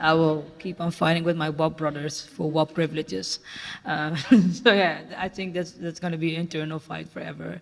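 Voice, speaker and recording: Here is a man with an unremarkable speaking voice, pitched fairly high. He keeps a moderate pace with ordinary pitch variation. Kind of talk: panel discussion.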